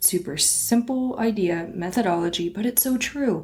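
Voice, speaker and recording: Somewhat breathy and animated in tone, a woman talks at a fairly slow pace with ordinary pitch variation. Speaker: small business podcast host. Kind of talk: solo podcast monologue. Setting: recording standing at a desk.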